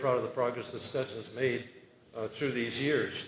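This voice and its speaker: A man's medium-pitched, monotone, flat voice at a moderate pace, with noticeable background noise and audible room echo. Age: 80s+. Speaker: retiring law professor. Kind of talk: retirement speech. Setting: party event with audience. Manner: halting with fillers.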